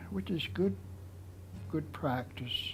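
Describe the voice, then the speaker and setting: In a room with audible echo, a man speaks at a fairly slow pace. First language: Nlaka'pamux. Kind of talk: interview storytelling. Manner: halting.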